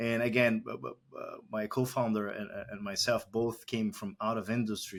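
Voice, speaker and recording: A man with a Brazilian accent and a medium pitch, on a very clean recording with a silent background. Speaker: tech company founder and CEO. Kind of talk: podcast interview.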